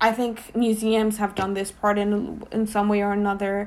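A woman with a Spanish accent, fairly high-pitched and fairly slow. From Mexico. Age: 20s. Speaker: art curator. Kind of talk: casual interview.

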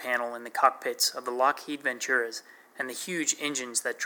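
Natural voice, read aloud

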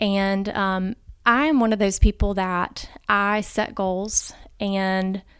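A woman speaks in a flat monotone with an Alabama accent, recorded very cleanly against a silent background. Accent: Southern US (Alabama). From US South, Montgomery, Alabama. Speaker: pharmacy professor and pastor's wife. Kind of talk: interview. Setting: in person.

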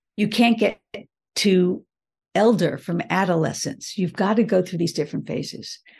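A woman speaks with an American accent at medium pitch and a moderate pace, her voice somewhat breathy. Her pitch variation is ordinary, and the background is quiet. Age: 70s. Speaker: leadership strategist. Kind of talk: interview.

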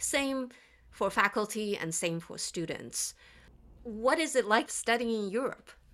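In a very clean recording with a silent background, a woman with a fairly high pitch uses an ordinary speaking voice at a fairly slow pace, with lively intonation and big swings in loudness. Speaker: engineering professor and podcast co-host. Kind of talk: casual panel discussion.

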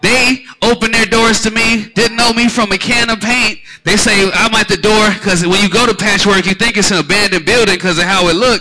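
An animated, raised and projected man's voice, high in pitch, with an American accent, a fairly quick pace, very even loudness and noticeable background noise. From US Midwest. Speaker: event host and music label representative. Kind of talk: live event hosting. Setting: stage with audience.

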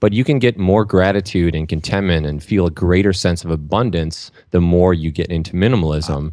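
Delivered in an American accent, the dark, mellow tone shows ordinary pitch variation. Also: man, very deep, low pitch for a man, fairly quick pace. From Minnesota, US. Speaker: entrepreneur and minimalism blogger. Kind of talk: podcast interview.

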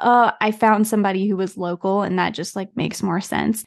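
An ordinary speaking voice with an American accent and fairly even intonation. The sound is dry and close with no echo, over a quiet background. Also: woman. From United States. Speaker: branding and web design studio founder. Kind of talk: interview.

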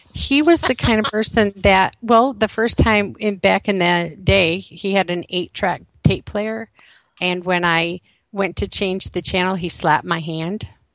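Dry, close sound with no echo carries a woman's unremarkable speaking voice at medium pitch. She talks at a fairly slow pace with ordinary pitch variation. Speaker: author. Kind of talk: interview testimony.

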